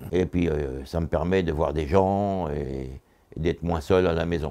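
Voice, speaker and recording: Very deep and low in pitch, a man speaks at a moderate pace with vocal fry. His tone is dark and mellow, with ordinary pitch variation. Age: 80s+. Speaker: retired supermarket worker. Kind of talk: interview testimony. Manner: halting.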